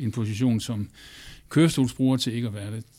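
Very fast and dark and mellow in tone, a man speaks at a medium pitch with fairly even intonation on a very clean recording with a silent background. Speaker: journalist. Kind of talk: panel discussion. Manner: halting, many fillers.

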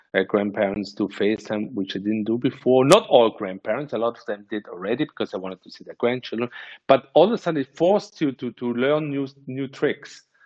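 A man with a normal speaking voice and medium pitch talks at a fairly quick pace, using lively intonation and big swings in loudness. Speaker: venture capitalist. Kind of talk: interview.

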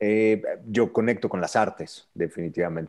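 This man talks at a fairly slow pace with fairly even intonation. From Mexico. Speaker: actor. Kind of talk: interview conversation.

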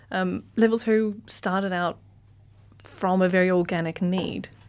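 Medium pitch and ordinary pitch variation define this woman's delivery. She has an unremarkable speaking voice. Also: very clean recording, silent background. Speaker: innovation centre manager. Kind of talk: interview. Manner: frequent filler ums.

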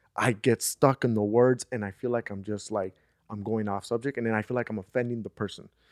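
With a Spanish accent, a man speaks fairly quickly at a medium pitch in a monotone, flat intonation, the sound dry and close with no echo. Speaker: podcast host. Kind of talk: casual chat.

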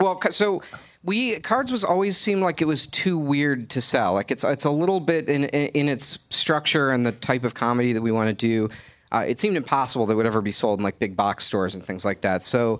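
Against a quiet background, the speaker moves at a fairly quick pace with very wide pitch swings. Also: man, fairly high pitch for a man. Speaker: game creator and comedy fan. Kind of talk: casual interview. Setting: stage with live audience.

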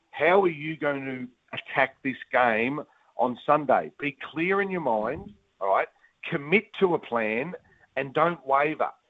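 Here a man with an Australian accent talks at a fairly slow pace, his fairly high pitch showing ordinary variation. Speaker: cricket coach and commentator. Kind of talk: interview. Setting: phone call.

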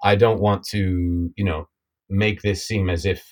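A man with an American accent speaks at a fairly low pitch, sounding somewhat breathy. The recording is very clean, with a silent background. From United States. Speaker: actor. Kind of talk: casual interview.

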